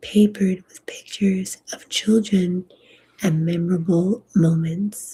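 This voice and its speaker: The voice is dark and mellow, calm and soothing, and somewhat breathy. It moves at a very slow pace with fairly even intonation. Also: woman. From Colombian heritage. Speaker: ASMR sleep story reader. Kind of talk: sleep story reading of a literary novel. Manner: slow, calm, soothing.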